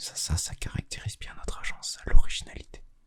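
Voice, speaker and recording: This man whispers at a moderate pace. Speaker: ASMR content creator. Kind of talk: ASMR roleplay, secret agent. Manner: whispered, soft-spoken.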